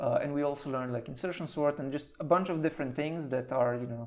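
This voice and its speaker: A man speaks very fast in a Slovenian accent. His voice is fairly high with fairly even intonation. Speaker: senior software engineer. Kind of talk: podcast interview.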